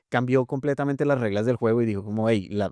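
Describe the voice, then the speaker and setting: A very fast pace in a very clean recording with a silent background, the sound dry and close with no echo. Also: man. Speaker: podcast host. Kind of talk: casual podcast conversation.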